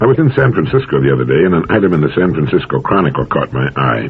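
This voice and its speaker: A man speaks at a very fast pace with lively intonation. Noticeable background noise can be heard. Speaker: motivational speaker. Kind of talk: motivational talk.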